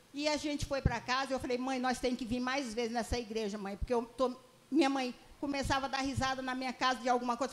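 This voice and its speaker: A woman talks very fast. Her voice sits high in pitch. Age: 70s. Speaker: church member. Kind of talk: testimony.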